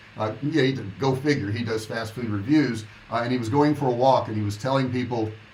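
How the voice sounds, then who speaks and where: At a fairly quick pace, a man speaks in a medium pitch with fairly even intonation, and room echo can be heard. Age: 60s. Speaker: online business coach. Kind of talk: livestream monologue. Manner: casual, conversational.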